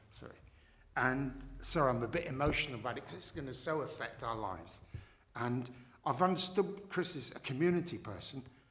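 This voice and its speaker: A man talks at a fairly quick pace in a fairly high voice with very wide pitch swings. Long, frequent pauses break it up, and audible room echo can be heard. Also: big swings in loudness. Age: 70s. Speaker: local resident objecting at licensing hearing. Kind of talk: formal hearing testimony. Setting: council licensing panel hearing. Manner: halting.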